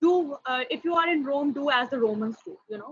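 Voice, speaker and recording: A woman with a high pitch projects a raised voice, talking at a fairly quick pace with lively intonation. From India. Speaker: foreign language trainer. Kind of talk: workshop presentation. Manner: hesitant, many fillers.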